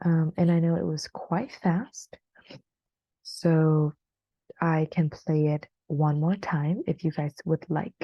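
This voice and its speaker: Speaking very slowly with long, frequent pauses, a woman has a fairly low, somewhat breathy voice of dark, mellow tone, heard in a dry, close sound with no echo. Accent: American. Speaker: English teacher. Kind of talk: online class. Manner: hesitant, many fillers.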